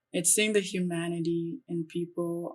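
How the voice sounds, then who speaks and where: Her pitch medium, a woman talks at a fairly slow pace. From Nigeria, moved to US around age eight. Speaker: university student and writer. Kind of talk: interview. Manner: earnest, with some halting restarts.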